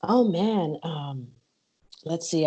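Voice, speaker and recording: A woman speaks at a very deep, low pitch. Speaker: MMA podcaster and journalist. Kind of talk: interview. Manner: animated.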